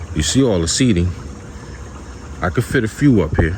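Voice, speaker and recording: There is noticeable background noise as a man with a very deep, low pitch speaks quietly at a moderate pace. His intonation is lively. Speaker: vlogger, trucker. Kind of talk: casual vlog rant. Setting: outdoors in backyard by pool. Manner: quiet, low volume; animated, emphatic.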